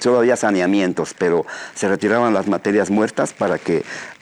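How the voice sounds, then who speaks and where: Noticeable background noise sits behind a man speaking fairly quickly at a fairly low pitch with fairly even intonation. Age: 60s. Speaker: trout farmer. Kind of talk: radio interview.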